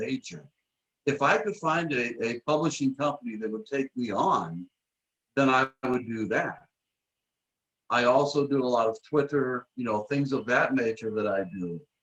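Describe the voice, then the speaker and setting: Speaking at a moderate pace with lively intonation, a man with an American accent has a medium-pitched, normal speaking voice. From Michigan, US. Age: 60s. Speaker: author and publisher. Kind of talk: casual interview.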